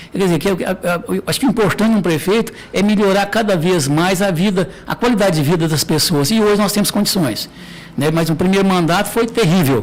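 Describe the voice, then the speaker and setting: Over noticeable background noise, a man talks fairly quickly at a high pitch, with ordinary pitch variation and very even loudness. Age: 60s. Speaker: mayor. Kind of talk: interview.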